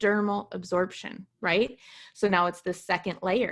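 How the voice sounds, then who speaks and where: The background is quiet while a woman speaks at medium pitch. Her pace is moderate and her pitch variation ordinary. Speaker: essential oils seller and presenter. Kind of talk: product presentation. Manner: loud; lively.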